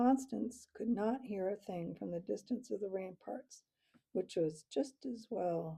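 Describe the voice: Plain reading aloud with lively intonation. The background is quiet.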